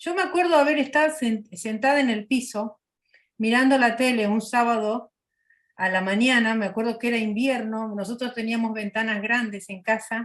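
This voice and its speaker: Speaking with an Argentine accent, a woman has a fairly high voice, ordinary pitch variation and a moderate pace. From Argentina. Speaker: missionary. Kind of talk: personal testimony in interview.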